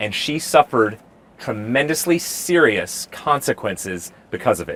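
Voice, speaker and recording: Here a man talks at a moderate pace with a fairly high pitch. His intonation is lively, with vocal fry. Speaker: street preacher; mental health and marriage family counselor. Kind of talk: street debate answer. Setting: outdoors.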